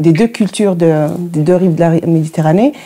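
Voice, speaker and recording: Speaking with an Arabic accent, a woman has a fairly low pitch, a dark, mellow tone and ordinary pitch variation. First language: Arabic (speaking French). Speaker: radio journalist and producer. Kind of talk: interview. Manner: halting.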